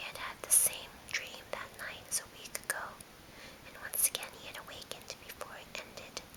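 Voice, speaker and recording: Whispering at a moderate pace against noticeable background noise. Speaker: ASMR whisperer. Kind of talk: read story. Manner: whispered.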